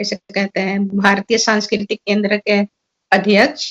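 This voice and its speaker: A woman's voice, fairly high in pitch. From Suriname. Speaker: seminar speaker. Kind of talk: seminar talk. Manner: halting.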